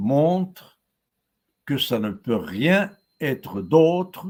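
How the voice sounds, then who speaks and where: A man with lively intonation. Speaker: professor giving a webinar. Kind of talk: lecture. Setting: live webinar. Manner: hesitant, many fillers and repetitions.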